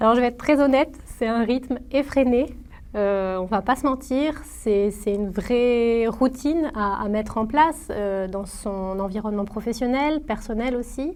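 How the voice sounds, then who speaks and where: Fairly slowly, a woman speaks at a fairly high pitch with ordinary pitch variation. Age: 30s. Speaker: former student, marketing professional. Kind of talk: testimony. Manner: hesitant, many fillers and repetitions.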